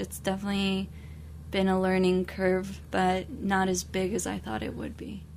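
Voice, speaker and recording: With her voice echoing audibly off the room, a woman talks at a moderate pace. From Mexico. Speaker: newspaper editor. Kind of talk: radio interview.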